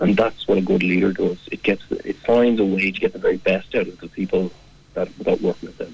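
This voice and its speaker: A man with a South Dublin accent speaks at a fairly quick pace, his loudness swinging widely. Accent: watered-down Irish, sounds like South Dublin. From Ireland, County Kildare. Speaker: management consultant. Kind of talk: radio interview. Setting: radio studio.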